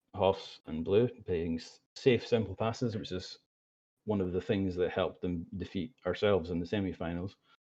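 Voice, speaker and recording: A man's very deep, low voice, dark and mellow, with fairly even intonation. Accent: Scottish. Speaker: esports commentator. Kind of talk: live commentary. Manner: fast.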